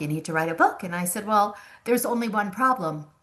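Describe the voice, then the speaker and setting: With an American accent, a woman speaks in a bright, sharp tone and lively intonation over a quiet background. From Long Island, New York. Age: 60s. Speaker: memoir author and insurance agent. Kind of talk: podcast interview. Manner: conversational, halting.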